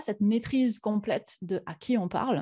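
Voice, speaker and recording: A woman speaks at a fairly high pitch with a dark, mellow tone, somewhat breathy, with ordinary pitch variation against a quiet background. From France. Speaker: science communicator and YouTuber; YouTuber. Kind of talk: conference talk. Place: home room.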